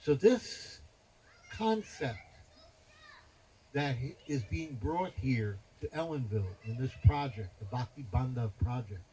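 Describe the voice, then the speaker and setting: A man with an American accent speaks at a medium pitch in a dark, mellow, somewhat breathy tone. His delivery is fairly slow with lively intonation and long, frequent pauses. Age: 70s. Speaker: spiritual teacher. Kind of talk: religious talk at a festival. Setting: festival gathering with audience. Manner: animated.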